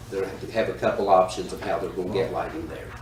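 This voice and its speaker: A man with an American accent talks amid noticeable background noise and audible room echo. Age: 60s. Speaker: town manager. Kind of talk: council meeting report.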